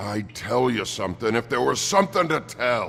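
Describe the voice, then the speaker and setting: A man's put-on character voice at a medium pitch, with very wide pitch swings and clear background noise. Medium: video game.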